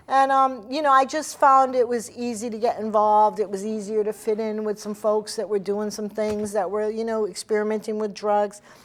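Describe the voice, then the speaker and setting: Fairly even intonation at a moderate pace, with hardly any pauses. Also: woman, fairly high pitch for a woman. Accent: American. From Central Massachusetts (from age 12), military childhood abroad. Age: 60s. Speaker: addiction recovery advocate. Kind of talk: talk show interview. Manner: halting, many fillers.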